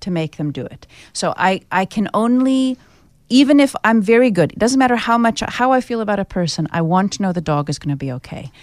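With an American accent, a woman at medium pitch talks at a fairly quick pace with very wide pitch swings on a very clean recording with a silent background. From United States. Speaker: pet custody mediator. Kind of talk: radio interview. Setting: studio.

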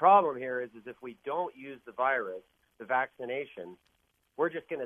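A man uses an ordinary speaking voice at a medium pitch. He talks at a fairly quick pace with ordinary pitch variation. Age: 50s. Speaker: caller. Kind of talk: radio call-in chat.

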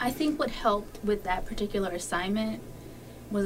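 At a moderate pace and medium pitch, a woman speaks with ordinary pitch variation over noticeable background noise. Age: 30s. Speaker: high school English teacher. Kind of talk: casual interview. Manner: hesitant with many fillers.

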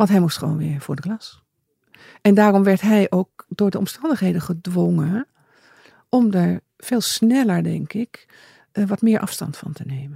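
Pausing long and often, a woman speaks at a medium pitch with a somewhat breathy, dark, mellow tone, lively intonation and big swings in loudness, in a dry, close sound with no echo. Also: fairly slow pace. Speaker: bereaved mother. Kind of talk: interview.

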